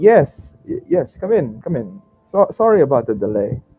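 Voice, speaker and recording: A man's put-on character voice, shaky and fairly high in pitch, with very wide pitch swings, big swings in loudness, a moderate pace, and music in the background. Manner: shaky, stammering.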